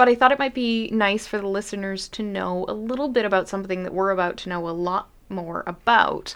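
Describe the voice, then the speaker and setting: Over a quiet background, a woman with an unremarkable speaking voice talks with ordinary pitch variation. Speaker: lawyer and podcast host. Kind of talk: casual chat.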